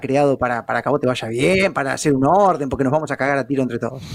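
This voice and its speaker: The speaker goes at a very fast pace. The pitch variation is ordinary. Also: man. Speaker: journalist. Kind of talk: casual interview.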